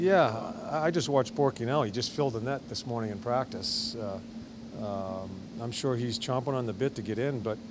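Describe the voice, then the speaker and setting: A man talks with ordinary pitch variation and a moderate pace while noticeable background noise runs beneath him. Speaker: hockey head coach. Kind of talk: interview answer. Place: hall.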